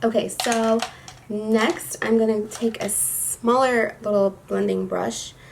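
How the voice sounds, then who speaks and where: Noticeable background noise is present. The words come out at a very slow pace. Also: woman. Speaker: beauty youtuber. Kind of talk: makeup tutorial talk to camera. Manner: casual, chatty.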